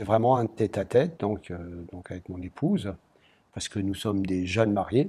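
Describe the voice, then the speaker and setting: In a very clean recording with a silent background, a man talks fairly quickly in a fairly low, dark, mellow, somewhat breathy voice. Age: 70s. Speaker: retired pharmacist, visually impaired charity fundraiser. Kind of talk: interview.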